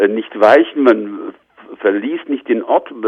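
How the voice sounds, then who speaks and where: Here a man talks at a moderate pace. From eastern Germany, Leipzig. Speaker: sociology professor. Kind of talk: interview. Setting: remote call. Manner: hesitant, many filler sounds.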